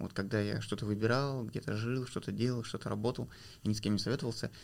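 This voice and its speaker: The man rattles along very fast. He keeps a mid-range pitch and fairly even intonation. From Kazakhstan, rural village. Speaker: PR specialist and documentary filmmaker. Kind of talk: interview.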